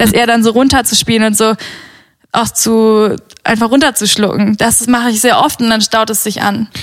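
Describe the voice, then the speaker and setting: A plain, everyday voice from a woman, fairly high in pitch, with fairly even intonation at a moderate pace. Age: 20s. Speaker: podcast guest. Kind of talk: casual chat.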